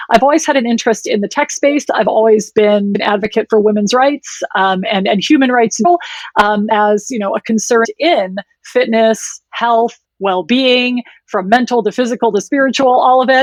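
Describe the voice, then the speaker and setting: In a Wisconsin accent, the speaker talks at a moderate pace with a dry, close sound and no echo. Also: woman, fairly high pitch for a woman, ordinary pitch variation. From US, Wisconsin. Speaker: women's health tech founder. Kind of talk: podcast interview.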